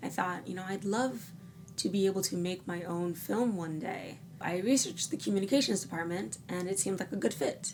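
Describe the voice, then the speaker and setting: Somewhat breathy, a woman speaks at a medium pitch and a fairly quick pace with lively intonation. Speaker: college student vlogger. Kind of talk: personal vlog.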